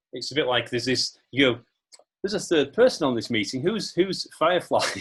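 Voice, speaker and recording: A somewhat breathy man speaks at a fairly quick pace, his intonation lively and his loudness swinging widely. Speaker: podcast host. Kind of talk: casual podcast interview talk.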